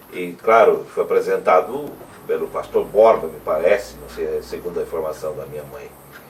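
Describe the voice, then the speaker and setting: A man at a moderate pace, his loudness swinging widely over noticeable background noise. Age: 60s. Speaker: interviewer, church member. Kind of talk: oral history interview. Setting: at the guest's home.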